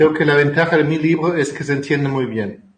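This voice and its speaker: A man with a slight German accent. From Germany. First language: German (speaking Spanish). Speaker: family constellation therapist and author. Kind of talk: interview. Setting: video call.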